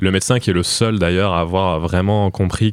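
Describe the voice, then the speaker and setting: A man's very deep, low pitch at a moderate pace, with fairly even intonation. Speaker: film podcast panelist. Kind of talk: casual chat.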